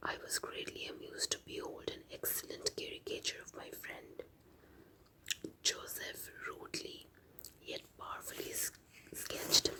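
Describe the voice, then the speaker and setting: A woman's calm whispering in an Indian accent, broken by long, frequent pauses. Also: big swings in loudness. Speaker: ASMR artist. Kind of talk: reading aloud. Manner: soft-spoken; slow, calm.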